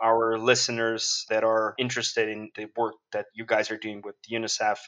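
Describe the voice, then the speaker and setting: A man speaks with a Portuguese accent. His pace is moderate. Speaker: podcast host. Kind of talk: interview.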